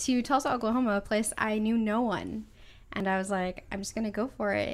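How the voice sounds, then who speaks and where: This voice belongs to a woman. Her recording is very clean and the background silent. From California. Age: 20s. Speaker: artist and art school owner. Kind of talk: casual interview.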